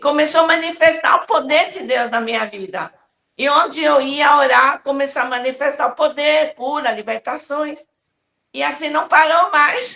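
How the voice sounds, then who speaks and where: A woman's raised, projected voice has a high pitch and a bright, sharp tone, with ordinary pitch variation and big swings in loudness. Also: moderate pace. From Brazil, São Paulo (Taiwanese-born). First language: Taiwanese (speaking Portuguese). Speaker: apostle, revival preacher. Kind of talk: interview testimony.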